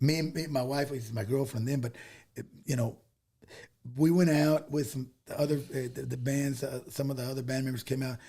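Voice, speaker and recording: This voice has a dark, mellow tone, somewhat breathy, with an American accent. It moves at a fairly quick pace with fairly even intonation, broken by long, frequent pauses. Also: man, medium pitch for a man. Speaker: Tejano singer. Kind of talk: casual chat. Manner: halting.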